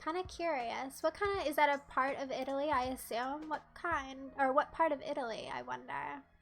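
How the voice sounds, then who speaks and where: With music in the background, a woman speaks in a high pitch with an American accent, ordinary pitch variation and hardly any pauses. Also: moderate pace. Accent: typical American. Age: 20s. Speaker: streamer. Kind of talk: casual chat. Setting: live stream. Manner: animated.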